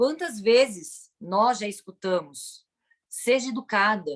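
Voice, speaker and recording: A woman's voice sits fairly high in pitch. Her intonation is lively. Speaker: police chief. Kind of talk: lecture. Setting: video call. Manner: halting.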